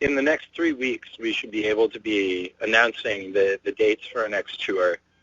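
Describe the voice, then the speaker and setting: At a moderate pace, a man mumbles his words. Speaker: band member. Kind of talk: interview. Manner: mumbling; halting. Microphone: muffled.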